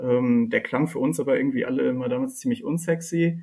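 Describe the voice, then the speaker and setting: The intonation is lively. A man delivers his words at a moderate pace. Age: 30s. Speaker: data scientist. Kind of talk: interview. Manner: hesitant, many filler sounds.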